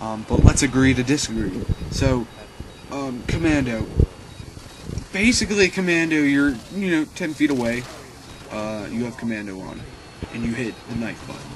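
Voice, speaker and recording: A man with a medium pitch speaks at a moderate pace with lively intonation, long, frequent pauses and big swings in loudness, against noticeable background noise. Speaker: gaming commentator. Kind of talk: gameplay commentary. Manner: hesitant, many fillers.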